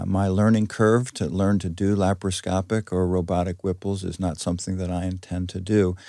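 A man's very deep, low American-accented voice, dark and mellow, monotone and flat at a moderate pace, on a very clean recording with a silent background. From New York area. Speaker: surgeon. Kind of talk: interview. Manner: halting, frequent repetitions.

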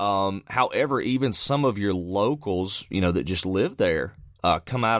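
A man with an Alabama accent speaks at a fairly low pitch with ordinary pitch variation. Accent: US Southern (Alabama). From central Alabama. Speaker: professional storm chaser. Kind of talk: casual interview.

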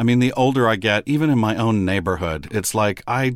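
A man speaks in an American accent with ordinary pitch variation. The recording is very clean, with a silent background. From Texas, Midland. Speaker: classical radio host. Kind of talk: casual interview. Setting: studio.

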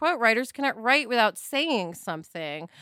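A woman speaks in a raised, projected voice with a bright, sharp tone. Her pitch swings very widely. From New York. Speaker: podcast host and author. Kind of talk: casual chat.

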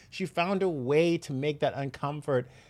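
In a very clean recording with a silent background, a man with a normal speaking voice and fairly high pitch talks at a moderate pace. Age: 30s. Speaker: podcast host, entertainment interviewer. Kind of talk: casual interview.

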